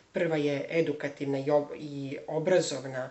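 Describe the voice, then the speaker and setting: A man's voice with fairly even intonation and noticeable background noise. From Serbia, Belgrade. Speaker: language teacher and theologian. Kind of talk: self-introduction video. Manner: hesitant, many fillers.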